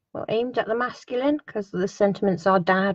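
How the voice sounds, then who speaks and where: A woman's medium-pitched voice comes through somewhat breathy. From Somerset, south-west England. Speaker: papercraft product demonstrator. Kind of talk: product walkthrough video.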